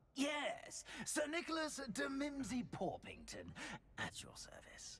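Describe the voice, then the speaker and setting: A man puts on a character voice, pitched extremely high and delivered at a fairly slow pace. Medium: video game. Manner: polite, hesitant, formal.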